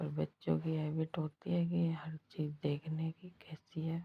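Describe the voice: A woman talks at a fairly slow pace in a low, hoarse voice with a husky, rough edge, vocal fry and little pitch movement.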